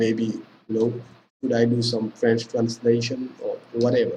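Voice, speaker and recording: A man talks at a fairly slow pace. His voice is somewhat breathy, at medium pitch. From Senegal. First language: Pulaar (Fula). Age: 20s. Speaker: language teacher. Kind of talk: tutorial. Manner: casual, filler-heavy (okay, you know).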